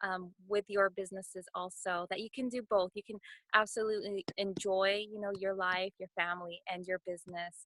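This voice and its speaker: In a bright, sharp tone, a woman speaks at medium pitch in a monotone, flat intonation at a moderate pace, the sound dry and close with no echo. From Northern California. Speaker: network marketing team member. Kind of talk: testimony on a team call. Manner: quiet.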